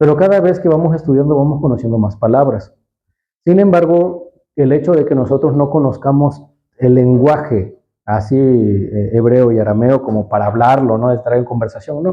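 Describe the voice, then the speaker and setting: At a moderate pace, a man with an unremarkable speaking voice talks at a medium pitch, his loudness very even and his pitch varying in an ordinary way. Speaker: Bible language teacher. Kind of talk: teaching talk.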